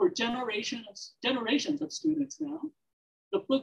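The woman's voice is high-pitched, set against a quiet background. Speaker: panel moderator, professor. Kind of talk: formal introductions at an academic symposium. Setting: stage with audience. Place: hall.

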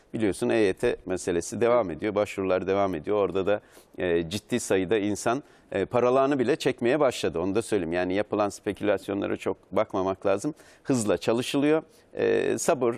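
A man speaks in a normal speaking voice at a fairly low pitch and a fairly quick pace. His loudness stays very even, and his pitch varies in an ordinary way. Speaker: news guest. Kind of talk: interview answer. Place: studio.

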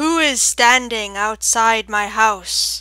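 Putting on a character voice, a woman speaks very slowly in a resonant tone at a fairly high pitch. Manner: booming.

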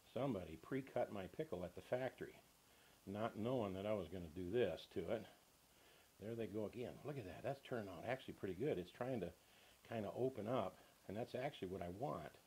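Speaking at a fairly quick pace, a man with an American accent has a dark, mellow, somewhat breathy tone, a fairly low pitch for a man and ordinary pitch variation. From US South. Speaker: cooking show host. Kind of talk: tutorial. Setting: home kitchen. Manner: folksy. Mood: cheerful, folksy. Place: kitchen.

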